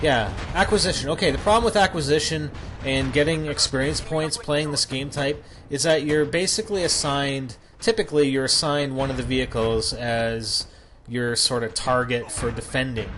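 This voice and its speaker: A man with a fairly high pitch and lively intonation talks through noticeable background noise. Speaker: gaming commentator. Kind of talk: gameplay commentary. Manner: fast; halting.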